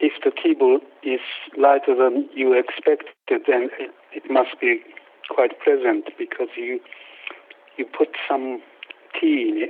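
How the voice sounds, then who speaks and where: A man talks very slowly, pausing often and at length, while clear background noise persists. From Japan. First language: Japanese. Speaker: potter and kiln builder. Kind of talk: casual interview. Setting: phone call. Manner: halting.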